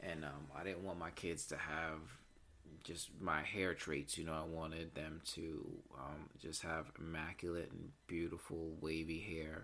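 A man's very deep, low pitch and bright, sharp tone, with audible room echo. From Puerto Rican heritage, US. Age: 30s. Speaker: podcast host. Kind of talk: casual monologue. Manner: hesitant, many fillers.

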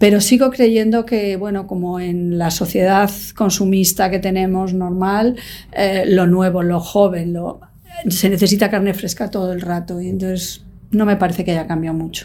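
Fairly even intonation from a woman with a plain, everyday voice, medium pitch, and moderate pace. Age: 60s. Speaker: magazine production director. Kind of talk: interview.

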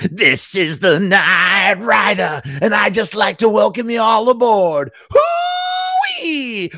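A man shouts and cackles in a put-on character voice pitched high. He goes at a very slow pace. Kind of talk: mock sports commentary. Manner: manic, taunting, showboating.

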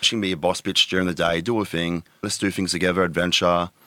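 A man with an Australian accent, a very deep, low pitch and a bright, sharp tone, talking very fast in a flat monotone, in a very clean recording with a silent background. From Tweed Heads, New South Wales, Australia. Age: 30s. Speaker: adult content creator. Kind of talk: casual interview.

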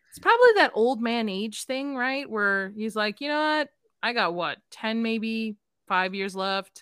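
An unremarkable speaking voice at a fairly slow pace, with ordinary pitch variation and big swings in loudness. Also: woman, fairly high pitch for a woman. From Chicago, South Side. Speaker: podcast guest. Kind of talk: casual chat.

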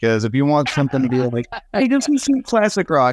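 The sound is dry and close with no echo and a quiet background, carrying a man's fairly high voice. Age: 30s. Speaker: musician and podcaster. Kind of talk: casual chat. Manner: animated.

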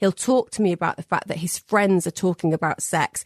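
Against a quiet background, a woman with a northern English accent speaks at a fairly low pitch. The sound is dry and close, with no echo. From northern England. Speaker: therapist. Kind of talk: interview.

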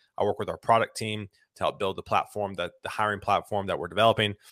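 With a Southern US accent, a man speaks in a very clean recording with a silent background and a dry, close sound with no echo. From US South, South Carolina (Lexington near Columbia). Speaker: tech recruiter. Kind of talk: casual chat. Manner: halting.

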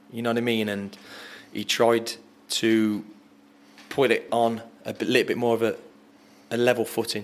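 Speaking in an English accent, a man uses a medium pitch and a flat, monotone intonation at a moderate pace, leaving long, frequent pauses. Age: 30s. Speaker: footballer. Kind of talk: casual chat.

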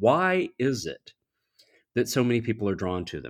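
Very clean and silent in the background, the recording has a man with a plain, everyday voice, an American accent, medium pitch and a moderate pace. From US South. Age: 50s. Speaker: theologian and professor. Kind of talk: interview.

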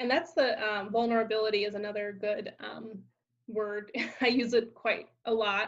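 Fairly even intonation at a moderate pace from a woman, a plain, everyday voice pitched fairly high. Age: 30s. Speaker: podcast host. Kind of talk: interview. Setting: video call.

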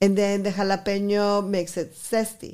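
A woman at medium pitch and moderate pace, with a Spanish accent, on a very clean recording with a silent background. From Guadalajara, Mexico; teen years in Texas border town. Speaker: restaurant owner. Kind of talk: interview.

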